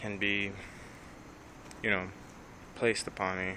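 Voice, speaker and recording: A man's voice with audible room echo. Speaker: vlogger. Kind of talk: personal vlog monologue. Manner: hesitant, filler-heavy.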